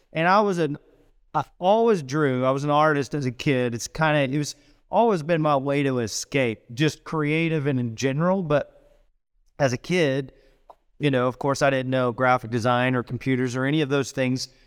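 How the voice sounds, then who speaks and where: A man with an American accent speaks in a plain, everyday voice at a moderate pace, his fairly high pitch showing ordinary pitch variation. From US Midwest, southwest Missouri. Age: 40s. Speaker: design executive and Marine veteran. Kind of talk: interview. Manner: casual, conversational.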